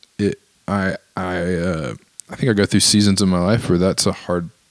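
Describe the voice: At a moderate pace, a man talks with a low pitch and little pitch movement.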